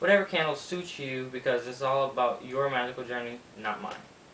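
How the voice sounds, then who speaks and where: A man talks at a medium pitch with ordinary pitch variation. There is noticeable background noise and audible room echo. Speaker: YouTuber teaching witchcraft. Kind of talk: tutorial. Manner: fast; casual, hesitant with many ums.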